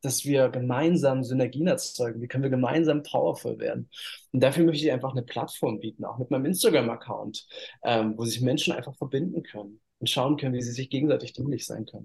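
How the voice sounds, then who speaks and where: A somewhat breathy man speaks at a very fast pace in a medium pitch with ordinary pitch variation. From eastern Germany, Halle/Leipzig area. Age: 30s. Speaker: model and spiritual coach. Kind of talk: interview.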